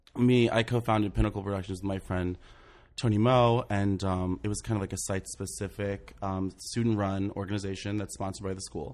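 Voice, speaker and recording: On a very clean recording with a silent background, a man speaks in a normal speaking voice, fairly low in pitch, with fairly even intonation. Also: fairly quick pace. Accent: American. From US South, southern Maryland. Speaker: theatre director and producer. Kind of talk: casual interview. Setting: studio.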